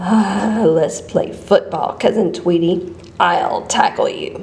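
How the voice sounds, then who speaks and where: Using a put-on character voice, a woman speaks at a fairly slow pace over clear background noise. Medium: read story.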